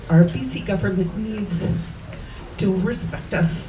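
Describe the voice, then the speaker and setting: A woman's fairly low voice in a Canadian accent at a very slow pace, with noticeable background noise and audible room echo. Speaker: local resident speaking at a rally. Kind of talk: rally speech. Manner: soft-spoken.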